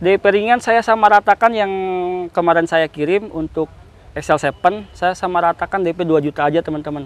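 Recorded with a dry, close sound and no echo, a man speaks in a high pitch with ordinary pitch variation. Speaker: car salesman. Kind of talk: pitchman promo, rapid-fire sales pitch. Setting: car showroom.

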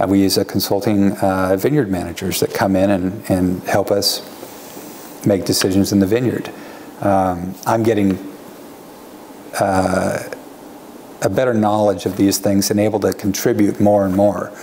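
Fairly low-pitched male voice with an American accent, monotone, flat intonation, very even loudness, a fairly slow pace, long, frequent pauses and light background noise. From Oregon, US (Hillsboro/Beaverton area). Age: 50s. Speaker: winery owner. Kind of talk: oral history interview. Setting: on location at winery. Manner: hesitant, filler-heavy. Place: home room.

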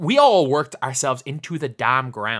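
A man with an Irish accent talks in a bright, sharp, animated tone with ordinary pitch variation on a very clean recording with a silent background. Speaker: gaming YouTuber. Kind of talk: reaction video commentary.

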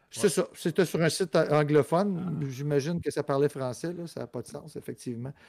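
At a moderate pace, a man speaks in a fairly high pitch with ordinary pitch variation and big swings in loudness. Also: dry, close sound with no echo. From Montreal, Rosemont. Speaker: podcast co-host. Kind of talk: casual chat.

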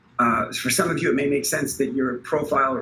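A man's fairly high-pitched voice at a fairly quick pace, with noticeable background noise. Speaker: project lead. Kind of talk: online team meeting. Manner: halting.

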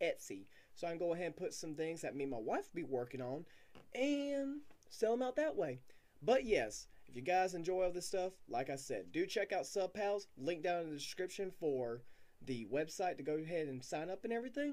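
His pitch rises and falls very widely. The man keeps to a moderate pace. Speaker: small channel creator. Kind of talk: casual vlog chat. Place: home room. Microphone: webcam.

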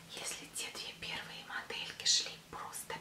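A soft-spoken woman whispers at a fairly slow pace over noticeable background noise. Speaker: fashion vlogger. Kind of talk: product show vlog chat. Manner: soft ASMR whisper, intimate. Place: home room. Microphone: webcam.

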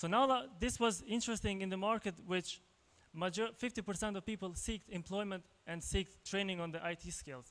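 A man with an Albanian accent speaks at a high pitch. His pace is fairly slow, with ordinary pitch variation. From Kosovo. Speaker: tech entrepreneur, conference speaker; conference speaker. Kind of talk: conference talk. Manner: halting, many fillers and repetitions. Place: hall. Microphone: handheld.

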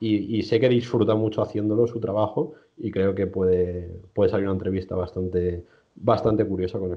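The pace is fairly quick, with fairly even intonation. The background is quiet. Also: man, fairly low pitch for a man. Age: 20s. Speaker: strength sports nutrition coach. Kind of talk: interview. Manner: halting, many repetitions. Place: home room. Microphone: video call.

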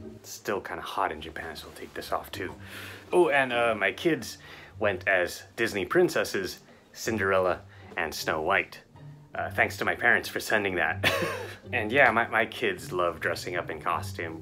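With faint music in the background, a man with a fairly low pitch talks at a moderate pace, his loudness swinging widely. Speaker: father vlogger. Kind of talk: casual vlog chat. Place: home room. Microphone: webcam.

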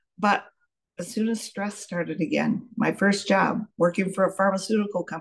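A woman's voice with vocal fry, fairly even intonation and a moderate pace, over a quiet background. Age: 70s. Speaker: pharmacist. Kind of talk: testimony. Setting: video call. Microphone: video call.

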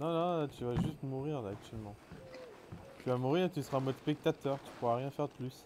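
With long, frequent pauses, a man speaks at a fairly quick pace and a fairly high pitch, with ordinary pitch variation and noticeable background noise. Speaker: gaming streamer. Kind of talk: live gaming stream chat. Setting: online voice chat while streaming. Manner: animated.

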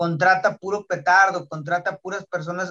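At a moderate pace, a man with a high pitch talks over a quiet background. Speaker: podcast host. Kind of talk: podcast sports debate. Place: home room. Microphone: video call.

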